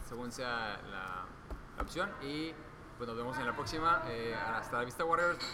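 Noticeable background noise and audible room echo accompany a man speaking with a Mexican accent. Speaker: podcast host and illustrator. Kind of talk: casual interview.

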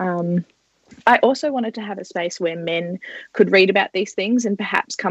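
A woman with an Australian accent at medium pitch, ordinary in pitch variation, dry and close with no echo against a quiet background. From Australia, northeast Victoria. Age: 20s. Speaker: journalist and feminist blogger. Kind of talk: podcast interview.

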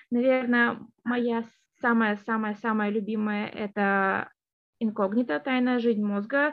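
A woman speaks at a very slow pace. Her voice is fairly high, with fairly even intonation. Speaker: linguistics graduate student. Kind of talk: interview. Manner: hesitant, with fillers.

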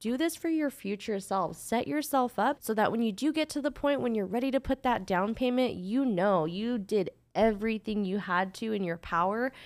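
In an ordinary speaking voice, a woman talks at a moderate pace with fairly high pitch and lively intonation on a very clean recording with a silent background. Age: 20s. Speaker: podcast co-host. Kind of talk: casual chat.

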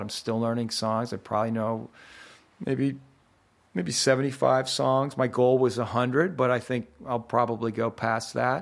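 A man with a plain, everyday voice speaks at a medium pitch and a moderate pace, with ordinary pitch variation, in a very clean recording with a silent background. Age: 50s. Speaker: actor turned workshop leader. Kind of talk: casual interview.

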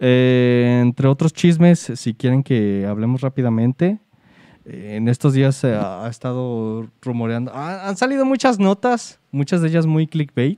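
Speaking at a fairly slow pace, a man with a medium-pitched, dark and mellow voice uses lively intonation, recorded dry and close with no echo against a quiet background. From Mexico, Guadalajara. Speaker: podcast host. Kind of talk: casual chat.

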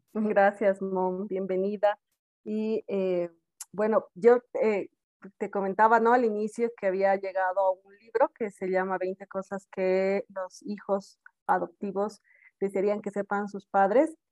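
Her medium-pitched voice is monotone and flat, moving at a very slow pace in a dry, close sound with no echo. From South America. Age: adult. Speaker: podcast host, adoptee. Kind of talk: casual chat.

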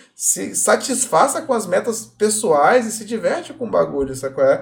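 A man speaks over noticeable background noise. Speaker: podcast host. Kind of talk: casual chat. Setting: live stream.

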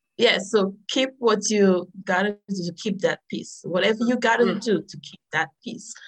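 A woman's medium-pitched, somewhat breathy voice at a moderate pace, with ordinary pitch variation and big swings in loudness. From Dominica. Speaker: motivational speaker and author. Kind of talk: interview.

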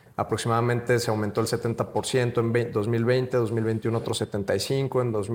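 Over a silent background in a very clean recording, a man with a medium pitch uses an ordinary speaking voice with fairly even intonation. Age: young. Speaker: entrepreneur. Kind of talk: casual interview.

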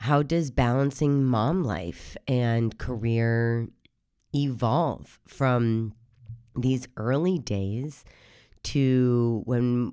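A woman's extremely low, hoarse voice, dark and mellow yet clear and smooth in tone, at a very slow pace in a very clean recording with a silent background. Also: ordinary pitch variation.

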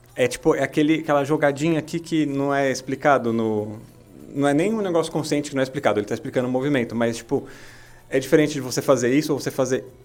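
A man with a fairly high pitch talks at a very fast pace, using ordinary pitch variation. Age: 30s. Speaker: podcast co-host, kung fu student and musician. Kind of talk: casual chat.

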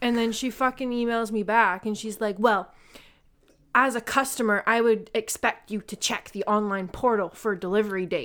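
Recorded very cleanly against a silent background, a woman has an unremarkable speaking voice with fairly high pitch. She talks at a moderate pace with fairly even intonation. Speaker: podcast co-host. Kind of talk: casual banter, crude comedy chat.

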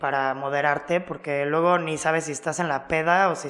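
The delivery moves at a fairly quick pace. Its intonation is monotone and flat. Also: woman. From Mexico (Cancún). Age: 20s. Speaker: DJ and music producer. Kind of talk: casual chat.

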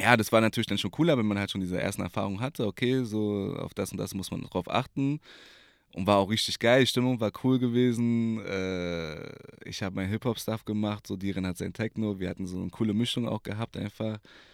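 A man with an unremarkable speaking voice talks at a fairly quick pace, his pitch fairly low with ordinary variation. The sound is dry and close with no echo. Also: very clean recording, silent background. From Berlin. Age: 20s. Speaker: DJ and personal trainer. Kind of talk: casual chat. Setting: recording booth in coworking space.

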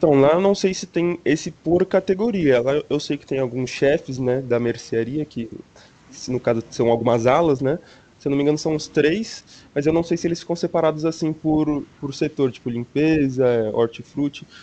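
Using a normal speaking voice, a man pitched fairly high talks at a moderate pace with ordinary pitch variation. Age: 20s. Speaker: university student. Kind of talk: casual chat.

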